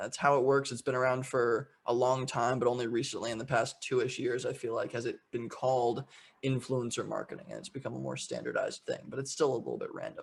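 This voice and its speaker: A man talking very fast, with hardly any pauses. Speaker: entrepreneur and show host giving a talk. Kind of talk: online presentation. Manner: casual, many fillers and repetitions.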